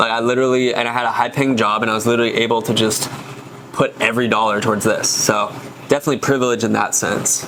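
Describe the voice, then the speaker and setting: A man's very fast, monotone speech with an American accent, flat intonation and very even loudness, over noticeable background noise. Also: medium pitch for a man. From Texas, Dallas. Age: 30s. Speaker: food company founder. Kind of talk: casual chat.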